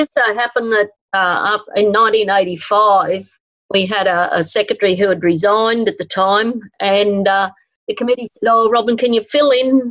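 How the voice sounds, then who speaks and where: A woman's fairly high voice in an Australian accent, at a moderate pace, with very even loudness and fairly even intonation. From Winton, outback Queensland, Australia. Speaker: festival event coordinator. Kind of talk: interview.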